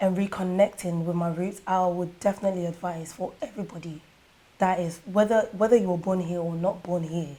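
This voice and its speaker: Dark, mellow female voice in a London accent, fairly even intonation, moderate pace. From Ghana, Kumasi, raised in London from age eight. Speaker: musician and dancer. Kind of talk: interview.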